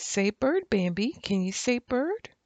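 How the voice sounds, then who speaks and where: A female-sounding put-on character voice speaks at a fairly slow pace and a fairly high pitch. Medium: read story. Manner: lively, chatty.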